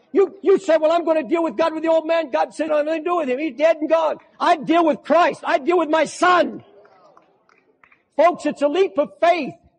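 This man's voice sits at an extremely high pitch. His intonation is fairly even. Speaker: preacher. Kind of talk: sermon preached to a congregation. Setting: large church auditorium with live congregation. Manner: fervent, emphatic, slow with repetition.

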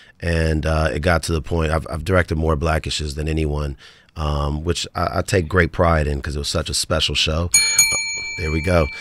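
A man with an American accent and a very deep, low pitch, monotone, flat intonation at a moderate pace, dry sound with no echo and light background noise. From Los Angeles, US West Coast; California. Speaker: film and TV director; guest. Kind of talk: interview. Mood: warm, reflective. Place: studio. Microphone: studio mic.

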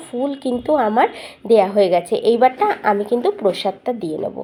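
Over noticeable background noise, a woman speaks with a fairly high pitch and lively intonation. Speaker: home vlogger. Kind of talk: casual vlog narration. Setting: at home.

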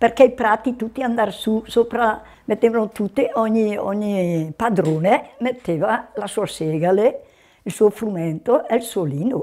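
Speaking at a fairly slow pace, a woman uses a fairly high pitch. Her tone is dark and mellow, with ordinary pitch variation. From Val di Scalve, northern Italy; northern Italy. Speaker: elderly villager. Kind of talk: reminiscing interview. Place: home room. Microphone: lapel.

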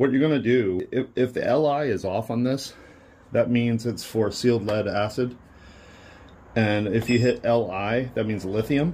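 A man speaks at a fairly slow pace in a dark, mellow, somewhat breathy tone. His pitch varies in an ordinary way over light background noise. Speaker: DIY demonstrator. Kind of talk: tutorial. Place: workshop. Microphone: phone near.

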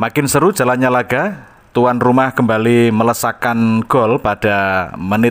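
A man at medium pitch moves very slowly through his words, his intonation lively. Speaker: radio announcer. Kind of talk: radio-style football match report, sports commentary. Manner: formal, polished broadcast tone.

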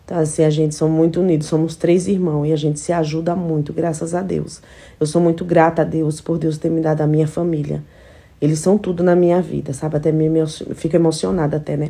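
The voice has a dark, mellow tone and moves at a fairly quick pace. Its intonation is monotone and flat. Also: woman, very deep, low pitch for a woman. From São Paulo, later many years in Alagoas; São Paulo, Brazil. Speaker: household employee and social media influencer; social media influencer. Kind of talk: casual vlog stories. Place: home room. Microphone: phone near.

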